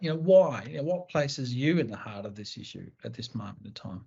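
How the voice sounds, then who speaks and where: Somewhat breathy, a man with an Australian accent speaks at a medium pitch. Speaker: co-host. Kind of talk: panel discussion.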